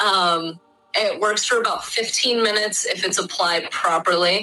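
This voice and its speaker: A woman's pitch moves in an ordinary way as she talks at moderate speed, with noticeable noise behind her. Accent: Midwestern US. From US Midwest (Michigan). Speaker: Kambo practitioner. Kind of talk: casual explanatory conversation. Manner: hesitant, frequent filler words.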